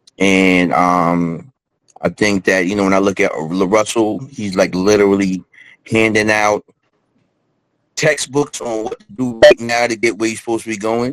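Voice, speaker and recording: A man speaks at a moderate pace with a fairly low pitch and ordinary pitch variation. The sound is dry and close, with no echo. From New York. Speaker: rapper. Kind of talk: casual chat. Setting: studio.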